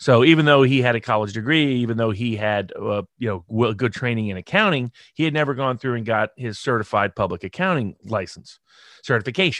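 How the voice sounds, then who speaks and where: Against a quiet background, a man with an unremarkable speaking voice talks at a fairly quick pace in a medium pitch with ordinary pitch variation. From US South, Chattanooga, Tennessee. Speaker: lawyer. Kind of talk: interview. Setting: video call.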